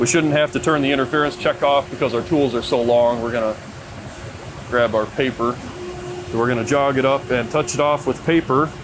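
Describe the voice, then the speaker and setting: A man speaks at a medium pitch, fairly quickly, with fairly even intonation and very even loudness. Long, frequent pauses break his speech, and background noise is noticeable. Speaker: machinist. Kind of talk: tutorial. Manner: casual; fast.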